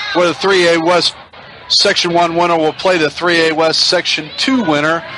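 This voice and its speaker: A man's high-pitched voice comes through noticeable background noise. He speaks at a moderate pace with fairly even intonation. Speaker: radio sports play-by-play announcer. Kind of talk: pregame sports broadcast talk.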